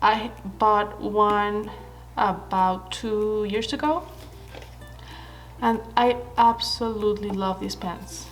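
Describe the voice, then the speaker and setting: A woman's fairly high voice with fairly even intonation, audible room echo and music in the background. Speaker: stationery YouTuber. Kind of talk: product haul review. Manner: casual, hesitant with fillers.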